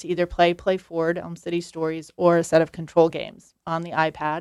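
At a moderate pace, a woman with a plain, everyday voice speaks at a fairly low pitch on a very clean recording with a silent background. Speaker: assistant professor and center director, researcher. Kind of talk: radio interview.

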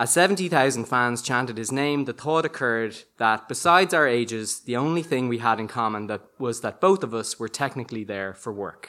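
Bright and sharp in tone, a man talks at a fairly quick pace. His pitch is medium and his intonation lively. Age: 30s. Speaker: storyteller. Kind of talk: storytelling performance.

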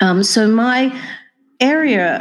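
A woman with an Australian accent and lively intonation. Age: 60s. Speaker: nursing dean and professor. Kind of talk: interview.

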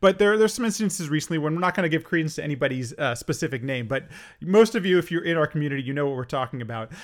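Very fast, lively speech from a man with a fairly high pitch, on a very clean recording with a silent background. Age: 30s. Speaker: podcast host. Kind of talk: casual interview. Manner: halting.

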